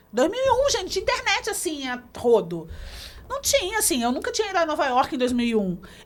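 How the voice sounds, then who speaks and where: The voice is loud and moves at a fairly quick pace with very wide pitch swings. Noticeable background noise is present. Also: woman, extremely high pitch for a woman. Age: 40s. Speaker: music journalist and radio host. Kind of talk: interview.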